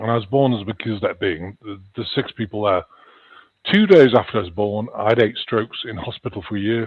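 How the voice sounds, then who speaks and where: Talking at a fairly quick pace, a man has a fairly low pitch with ordinary pitch variation and big swings in loudness. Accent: slight Liverpool. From England (Chester, near Liverpool). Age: 60s. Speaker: author and paranormal experiencer. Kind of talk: interview. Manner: halting.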